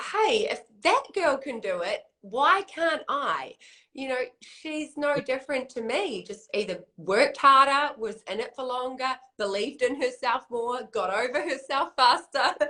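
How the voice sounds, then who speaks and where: A woman's raised, projected voice, high and bright with a sharp tone and lively intonation. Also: fairly slow pace. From eastern Canada. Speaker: network marketer, interview host. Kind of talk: interview.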